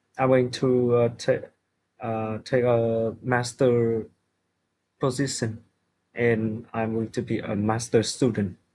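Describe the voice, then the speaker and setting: With a Vietnamese accent, a man speaks very slowly in a flat monotone at a medium pitch, with a dark, mellow tone and long, frequent pauses. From Vietnam, Hanoi. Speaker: IELTS test candidate. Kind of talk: speaking exam answers. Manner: halting, many hesitations.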